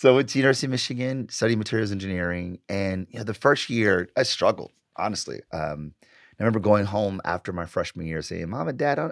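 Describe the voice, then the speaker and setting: A man with an American accent talks at a very fast pace with hardly any pauses. His pitch is fairly low, and the recording is very clean with a silent background. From US Midwest, Detroit. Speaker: marketing professor and author. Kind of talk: casual interview. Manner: animated.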